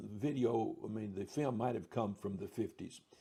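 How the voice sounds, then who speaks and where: A man's medium-pitched voice, dark and mellow in tone, somewhat breathy, with ordinary pitch variation. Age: 70s. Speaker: Bible teacher answering viewer questions. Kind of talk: Q&A talk answering a viewer's question. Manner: halting, with fillers and restarts.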